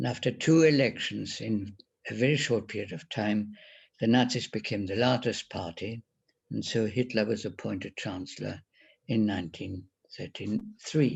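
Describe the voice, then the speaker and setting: With a German accent, a man speaks at a moderate pace and a fairly low pitch. His voice has vocal fry and ordinary pitch variation. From Germany. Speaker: Holocaust survivor. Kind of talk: testimony presentation.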